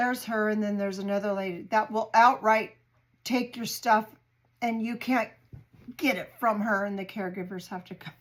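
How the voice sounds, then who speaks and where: In a very clean recording with a silent background, a woman speaks in a normal speaking voice with fairly even intonation and big swings in loudness. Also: fairly high pitch for a woman, moderate pace. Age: 60s. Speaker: home cooking vlogger. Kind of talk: casual chat.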